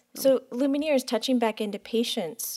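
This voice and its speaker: A woman speaks in a plain, everyday voice. Her pitch varies in an ordinary way. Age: 40s. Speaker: podcast host and medium. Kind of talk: casual chat.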